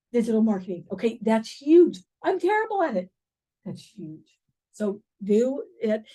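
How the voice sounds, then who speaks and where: A woman's fairly high, somewhat breathy voice with a dark, mellow tone, very wide pitch swings, big swings in loudness and long, frequent pauses. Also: moderate pace. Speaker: real estate coach. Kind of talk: workshop training session. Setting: in-person class with Zoom participants.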